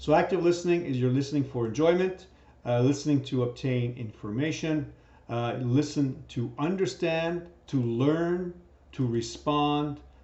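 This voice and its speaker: With audible room echo, a man talks at a fairly slow pace in a fairly high pitch with ordinary pitch variation. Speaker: teacher. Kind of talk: lecture.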